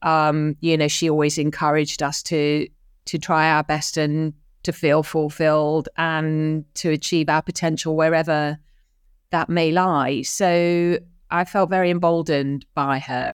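On a very clean recording with a silent background, a woman speaks with monotone, flat intonation and very even loudness. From North London. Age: 50s. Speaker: newsroom chief executive. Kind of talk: interview.

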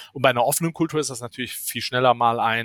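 Recorded very cleanly against a silent background, a man talks at a moderate pace with ordinary pitch variation in a dry, close sound with no echo. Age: 30s. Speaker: startup founder and CTO. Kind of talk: interview.

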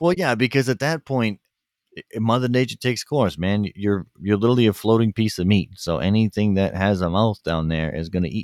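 A man in a plain, everyday voice, fairly low in pitch, with lively intonation at a fairly quick pace and a dry, close sound with no echo. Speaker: podcast host. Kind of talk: casual chat.

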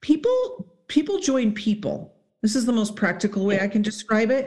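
A fairly high, somewhat breathy female voice at a fairly slow pace. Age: 40s. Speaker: psychologist and high performance mentor. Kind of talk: casual chat.

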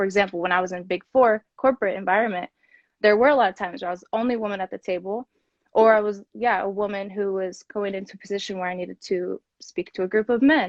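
Talking at a very fast pace with an American accent, a woman keeps her medium pitch fairly even in intonation while her loudness swings widely. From US Midwest, Kansas City. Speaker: podcast host and corporate professional. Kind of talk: casual interview. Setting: social media live video.

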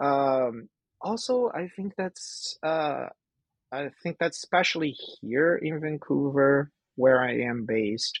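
A man speaks at a very slow pace with a Portuguese accent. The recording is dry and close with no echo. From Brazil. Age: 30s. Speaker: artist. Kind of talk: interview.

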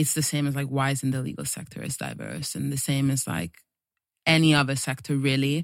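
A woman's very deep, low voice, dry and close with no echo. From Italy. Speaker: musician and producer. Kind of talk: casual interview. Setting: studio.

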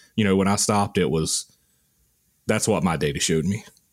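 A man talking at a very fast pace with a Southern US accent, in a very clean recording against a silent background. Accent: Southern US (Georgia). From US South, rural Georgia. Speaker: archaeologist, army veteran. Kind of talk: casual chat.

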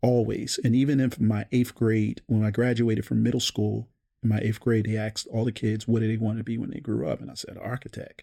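A man with an American accent speaks in a plain, everyday voice at a fairly quick pace, medium pitch and fairly even intonation. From Baltimore, Maryland. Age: 40s. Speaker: realtor. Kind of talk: casual interview.

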